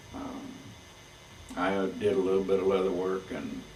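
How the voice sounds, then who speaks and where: A man with a very deep, low voice speaks at a moderate pace. Audible room echo and noticeable background noise are present. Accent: American. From Texas, Fort Worth area. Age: 70s. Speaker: saddle maker. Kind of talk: oral history recollection. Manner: halting, with many fillers.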